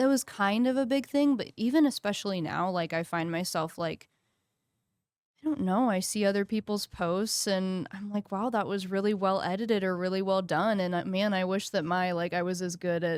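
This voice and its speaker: With an ordinary speaking voice, a woman talks at a moderate pace and medium pitch, showing ordinary pitch variation. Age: 20s. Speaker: podcast producer. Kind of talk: casual chat.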